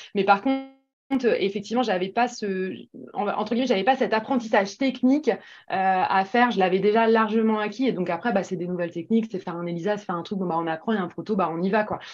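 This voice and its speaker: At a very fast pace, a woman speaks at a medium pitch with ordinary pitch variation against a quiet background. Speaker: pharmaceutical medical advisor. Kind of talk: interview. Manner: hesitant, many fillers.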